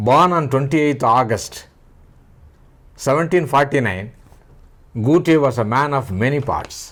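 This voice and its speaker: With long, frequent pauses, a man talks at a fairly slow pace in a fairly high voice, and room echo is audible. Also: ordinary pitch variation. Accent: Indian. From India, Tamil-speaking region. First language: Tamil. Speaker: writer and speaker on philosophy and spirituality. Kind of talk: lecture. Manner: formal.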